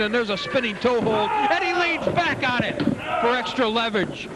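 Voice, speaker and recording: Noticeable background noise surrounds this man's voice. His pitch is extremely high and his pace moderate. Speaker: wrestling commentator. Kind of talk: play-by-play wrestling commentary.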